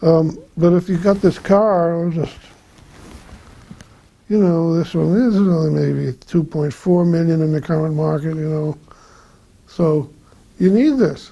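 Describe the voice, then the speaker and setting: A man with an American accent speaks in a high pitch with ordinary pitch variation. His pace is fairly slow, broken by long, frequent pauses. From Boston, Massachusetts. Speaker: auto ephemera dealer. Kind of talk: oral history interview answer.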